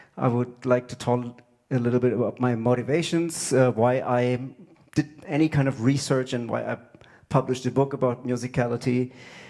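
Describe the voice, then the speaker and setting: At a fairly quick pace, a man speaks in a dark, mellow tone with monotone, flat intonation. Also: medium pitch for a man. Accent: German. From Germany. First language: German. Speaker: drummer and music educator. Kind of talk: music clinic lecture.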